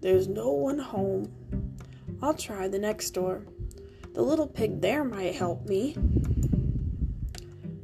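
What you hear is a natural reading voice. That stays the case from start to finish.

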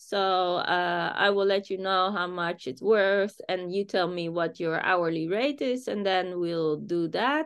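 A woman with a medium pitch speaks at a fairly slow pace, with hardly any pauses and ordinary pitch variation. It is an unremarkable speaking voice. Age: 40s. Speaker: business founder. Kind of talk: interview.

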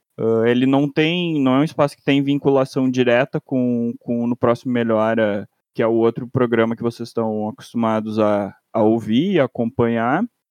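An ordinary speaking voice from a man, medium in pitch, at a moderate pace with hardly any pauses, ordinary pitch variation, big swings in loudness and a dry, close sound with no echo. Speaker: podcast co-host, master's student. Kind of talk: casual chat.

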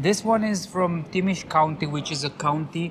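The speaker has a Romanian accent. The pace is fairly slow. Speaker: local guide. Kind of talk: casual chat. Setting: bar.

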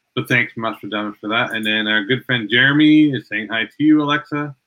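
This is a man with a normal speaking voice, going at a fairly quick pace. The rise and fall of his pitch is ordinary. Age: 40s. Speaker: podcast host. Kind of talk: casual chat.

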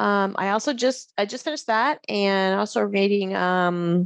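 Against a quiet background with a dry, close sound with no echo, a woman in a plain, everyday voice speaks at medium pitch and a fairly slow pace with ordinary pitch variation. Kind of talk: interview conversation.

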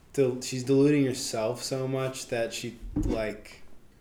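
Amid audible room echo, a man speaks at a fairly slow pace in a dark, mellow tone with monotone, flat intonation. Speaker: podcast co-host. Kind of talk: casual chat.

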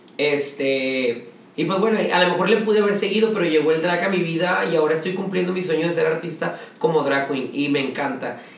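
Amid noticeable background noise and audible room echo, a high-pitched man speaks at a fairly quick pace in an animated tone. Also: ordinary pitch variation. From Monterrey, Mexico. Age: 30s. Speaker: drag queen. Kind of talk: casual chat.

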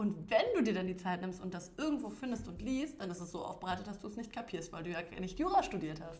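Amid audible room echo, a woman at medium pitch speaks at a very fast pace. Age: young. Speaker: coworking space founder. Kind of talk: casual chat.

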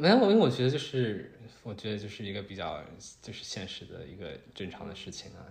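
The voice is somewhat breathy, moving at a fairly quick pace with big swings in loudness. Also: man. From China, Shanghai. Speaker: engineering student. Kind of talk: casual chat.

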